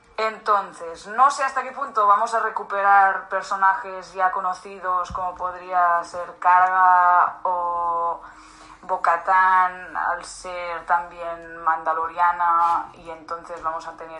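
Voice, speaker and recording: Bright and sharp in tone, a woman with a fairly low pitch speaks at a very slow pace with hardly any pauses, ordinary pitch variation and big swings in loudness. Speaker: podcast co-host. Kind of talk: casual chat. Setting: at a co-host's home.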